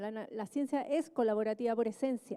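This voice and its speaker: A woman talks in a high pitch with ordinary pitch variation. Her tone is dark and mellow. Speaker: government official, economist. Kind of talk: panel talk. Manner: soft-spoken; halting with fillers. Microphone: quiet, asks for volume up.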